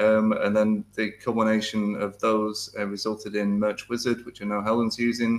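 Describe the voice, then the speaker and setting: A man with a British accent, fairly low in pitch, monotone and flat in intonation, at a moderate pace with hardly any pauses. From UK. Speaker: software developer. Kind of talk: interview; tutorial.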